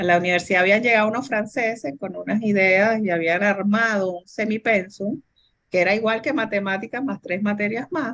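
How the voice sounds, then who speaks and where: A woman with an ordinary speaking voice talks at a moderate pace and medium pitch, with ordinary pitch variation and big swings in loudness. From Venezuela. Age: 60s. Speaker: businesswoman and engineer. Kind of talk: interview.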